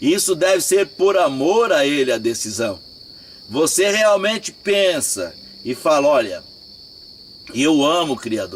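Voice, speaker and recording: There is noticeable background noise as a man speaks in a fairly high voice with very wide pitch swings. He goes at a fairly slow pace with long, frequent pauses. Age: 60s. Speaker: religious teacher. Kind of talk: religious talk. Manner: informal.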